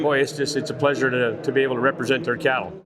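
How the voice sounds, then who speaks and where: A man races through his words at a very fast clip against noticeable background noise. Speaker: world champion auctioneer and livestock video market rep. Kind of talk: interview answer.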